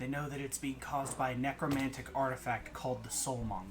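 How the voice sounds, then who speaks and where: Through clear background noise, a man in a raspy put-on character voice speaks very fast at medium pitch with fairly even intonation. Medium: actual play.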